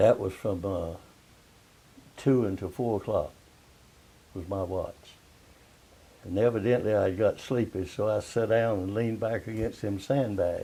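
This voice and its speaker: Pausing long and often, a man speaks fairly slowly in a somewhat breathy, dark, mellow voice that is fairly low in pitch, with fairly even intonation. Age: 80s+. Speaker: World War II veteran, Seabee. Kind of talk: interview answer.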